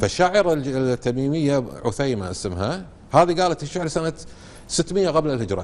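Moving in very wide pitch swings, a fairly high-pitched man speaks at a moderate pace. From Kuwait. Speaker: researcher of Kuwaiti dialect. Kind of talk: TV interview answer. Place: studio. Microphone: lapel.

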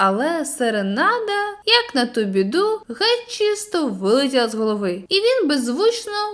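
A passage is being read aloud in a natural voice.

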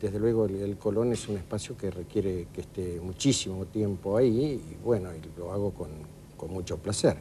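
This man's voice is somewhat breathy, fairly low in pitch, with a dark, mellow tone and ordinary pitch variation. His loudness swings widely over light background noise. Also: moderate pace. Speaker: interviewee. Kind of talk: interview answer. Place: studio.

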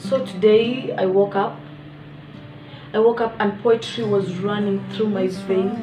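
A woman speaks at a fairly slow pace with a monotone, flat delivery. Music plays in the background, and she leaves long, frequent pauses. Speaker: vlogger and poet. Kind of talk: casual talk to camera. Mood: relaxed, upbeat. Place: home room. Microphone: phone near.

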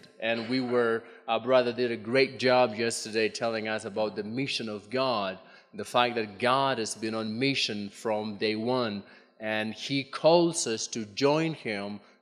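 A man at a fairly slow pace with ordinary pitch variation, faint music in the background. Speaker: conference presenter. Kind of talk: lecture. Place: hall. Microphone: podium.

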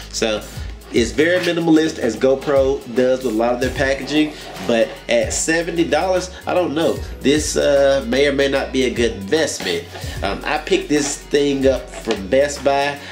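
A man talks at a fairly slow pace with clear music in the background. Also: ordinary pitch variation. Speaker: gadget reviewer. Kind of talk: unboxing commentary. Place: home room. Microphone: camera far.

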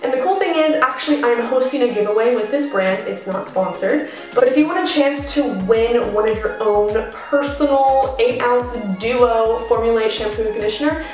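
Clear music plays in the background as a woman speaks at a moderate pace with a high pitch, ordinary pitch variation, and audible room echo. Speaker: beauty vlogger. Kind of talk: casual vlog chat.

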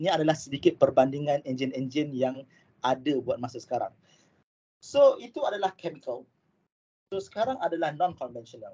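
A man's fairly high, somewhat breathy voice with a dark, mellow tone, fairly quick yet broken by long, frequent pauses. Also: ordinary pitch variation. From Malaysia. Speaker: aerospace engineering lecturer; university lecturer presenting. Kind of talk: online lecture. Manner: hesitant with fillers. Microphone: video call.

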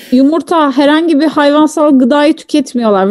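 High pitch from a woman against a quiet background. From Turkey. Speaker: streamer. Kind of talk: casual chat. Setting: live stream. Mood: relaxed, joking. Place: home room.

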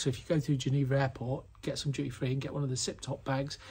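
A somewhat breathy man against a quiet background. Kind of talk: casual vlog chat. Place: garage. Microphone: phone near.

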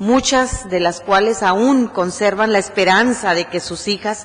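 This woman's voice sits at a medium pitch with ordinary pitch variation. She speaks at a fairly slow pace. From Mexico. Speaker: human rights activist; guest. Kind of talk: acceptance speech. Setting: city council chamber. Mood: earnest, grateful, serious. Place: hall. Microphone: podium.

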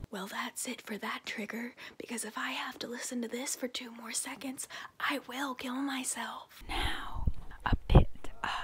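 A woman whispering at a fairly slow pace. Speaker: parody ASMR creator. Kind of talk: casual vlog chat. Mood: joking, deadpan humor. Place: home room. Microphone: earbuds.

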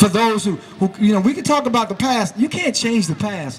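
Fairly quick and full of lively intonation, a man speaks in a passionate tone. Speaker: rally speaker. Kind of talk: rally speech. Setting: outdoor rally with crowd. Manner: passionate, emphatic, repetitive. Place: garden.

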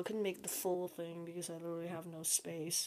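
A woman's voice at medium pitch. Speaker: hobbyist model builder. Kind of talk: show-and-tell tutorial. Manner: hesitant, many fillers.

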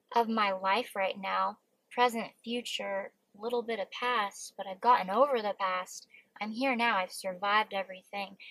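A woman speaks at a fairly slow pace. The background is quiet, and the sound is dry with no echo. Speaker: vlogger. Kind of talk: casual vlog chat. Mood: reflective, emotional. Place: car. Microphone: phone near.

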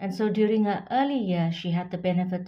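A woman speaks in a dark, mellow tone, somewhat breathy, with ordinary pitch variation. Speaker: vlogger. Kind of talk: informative vlog talk. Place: home room. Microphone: phone near.

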